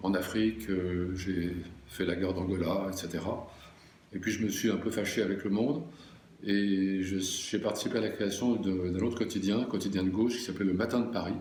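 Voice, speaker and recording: With audible room echo, a man speaks at a moderate pace in a fairly low pitch, his loudness very even and his intonation fairly even. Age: 70s. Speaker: journalist. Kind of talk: interview. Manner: halting, many hesitations.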